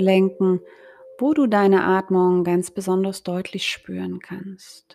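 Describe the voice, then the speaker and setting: A woman with an unremarkable speaking voice, medium in pitch, at a fairly slow pace. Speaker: yoga teacher and health coach. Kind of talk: guided meditation (yoga nidra). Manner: slow, soft, calm and soothing; gentle pacing with pauses.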